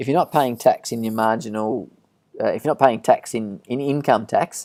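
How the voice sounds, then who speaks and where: Speaking with an Australian accent, a man talks at a moderate pace and medium pitch in a dark, mellow tone. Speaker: financial adviser. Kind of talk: webinar presentation with Q&A. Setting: online webinar. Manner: monotone; halting, many fillers.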